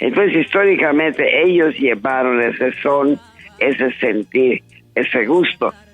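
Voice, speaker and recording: Music plays behind a man speaking fairly slowly at a fairly high pitch with very even loudness. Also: ordinary pitch variation. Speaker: songwriter and singer. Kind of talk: interview answer.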